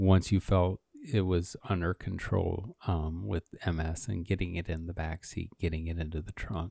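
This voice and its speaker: At a fairly slow pace, a man speaks in a dark, mellow tone, the sound dry and close with no echo and the recording very clean against a silent background. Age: 50s. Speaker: podcast host living with MS. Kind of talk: casual chat. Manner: halting, many restarts.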